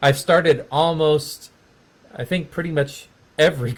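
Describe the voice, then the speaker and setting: A man with an American accent speaks in a somewhat breathy voice, his intonation fairly even. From Texas. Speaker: music education professor. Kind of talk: casual chat.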